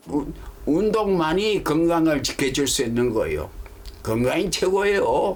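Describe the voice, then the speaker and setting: Over noticeable background noise and audible room echo, a man speaks fairly slowly at a high pitch with lively intonation. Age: 90s. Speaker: fortune teller. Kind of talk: casual interview.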